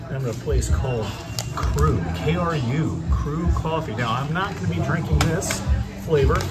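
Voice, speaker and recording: A man talks at a fairly slow pace while music plays in the background. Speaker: coffee reviewer. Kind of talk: casual vlog chat. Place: cafe. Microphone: phone near.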